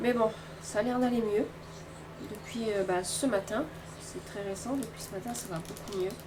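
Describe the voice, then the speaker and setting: At a moderate pace and fairly high pitch, a woman speaks with fairly even intonation and long, frequent pauses, amid noticeable background noise and audible room echo. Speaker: craft vlogger. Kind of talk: casual vlog talk. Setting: at home.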